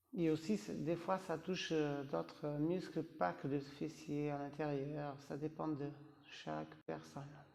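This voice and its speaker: A man's fairly high voice at a very slow pace. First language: not French (speaking French). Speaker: yoga teacher. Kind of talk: guided yoga class. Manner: halting, with hesitations; calm, instructive.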